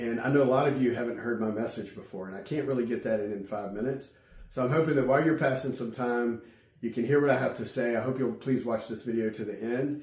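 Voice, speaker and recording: Against noticeable background noise, a man at medium pitch speaks at a very fast pace. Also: fairly even intonation. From Virginia, Amelia County. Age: 50s. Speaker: political candidate, entrepreneur. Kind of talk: campaign address to camera. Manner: hesitant, with fillers and repetitions.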